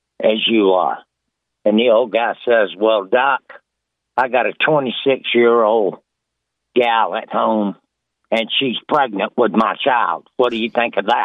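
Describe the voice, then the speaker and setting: A man speaks at a very slow pace with fairly even intonation, leaving long, frequent pauses. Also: medium pitch for a man. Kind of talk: joke telling. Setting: phone call.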